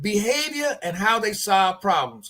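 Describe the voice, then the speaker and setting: A man talks with lively intonation in a high pitch. His tone is bright and sharp. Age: 70s. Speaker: addiction treatment program leader. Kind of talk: interview. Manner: halting, repeats words.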